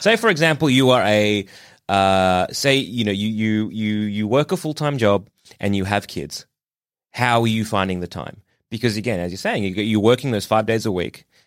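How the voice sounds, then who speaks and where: On a very clean recording with a silent background, a man with an Australian accent speaks in a fairly low voice with ordinary pitch variation. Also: moderate pace. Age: 30s. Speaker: fill-in podcast co-host. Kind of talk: casual chat.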